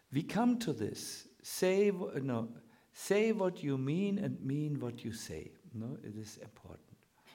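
A man with a German accent speaks at a very slow pace. His pitch is fairly high and swings very widely. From Germany. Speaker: Hare Krishna teacher. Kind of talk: spiritual lecture. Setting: lecture hall with audience. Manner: halting, with many fillers.

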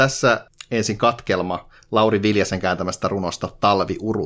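A man with a plain, everyday voice and fairly low pitch is heard on a very clean recording with a silent background. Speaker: podcast co-host. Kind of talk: reading a poem aloud in Finnish, translated rhymed verse. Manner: measured, rhythmic, sing-song cadence with a deliberate, slightly mock-solemn tone.

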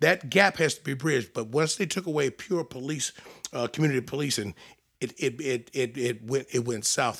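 A man speaks with an American accent and an unremarkable speaking voice. His pitch is medium, with ordinary pitch variation and a fairly quick pace. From Maryland, Prince George's County. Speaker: retired state trooper. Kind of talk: casual chat.

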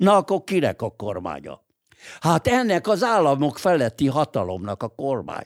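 At a moderate pace, a man with vocal fry makes very wide pitch swings, in a dry, close sound with no echo on a very clean recording with a silent background. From Hungary. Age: 80s+. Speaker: lawyer and political writer. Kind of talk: interview. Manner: halting, frequent filler hesitations.

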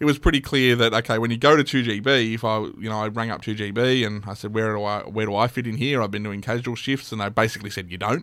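Hardly pausing, a man of medium pitch speaks at a very fast pace with fairly even intonation. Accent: Australian. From western Sydney, Australia. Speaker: newspaper editor and radio broadcaster. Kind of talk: casual interview chat. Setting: studio.

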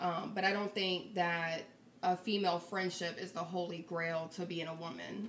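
Against noticeable background noise, a woman talks in a medium pitch with fairly even intonation. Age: 30s. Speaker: podcast guest. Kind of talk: casual chat.

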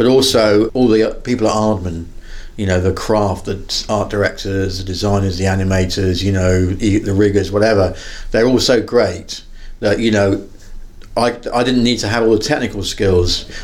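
At a moderate pace, a man with an unremarkable speaking voice talks in a fairly even intonation. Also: fairly low pitch for a man. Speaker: film director. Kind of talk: interview.

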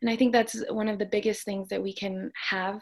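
In a plain, everyday voice, a woman talks at a medium pitch with fairly even intonation against a quiet background. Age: 20s. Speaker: student and mental health educator. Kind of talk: interview.

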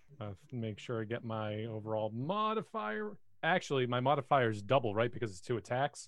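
In a plain, everyday voice, a man talks at a fairly quick pace with a medium pitch, ordinary pitch variation and big swings in loudness. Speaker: player. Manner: joking, bantering.

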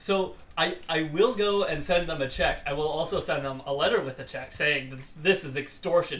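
A man keeps up a fairly quick pace. Both audible room echo and noticeable background noise are heard. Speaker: podcast co-host. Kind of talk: casual chat.

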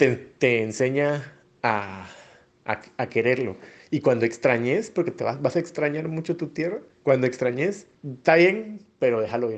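A man with a medium pitch talks fairly slowly, his intonation lively. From Guatemala, Flores, Petén. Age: 30s. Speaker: migrant interviewee, former bank employee. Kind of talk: personal testimony. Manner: hesitant, many fillers.

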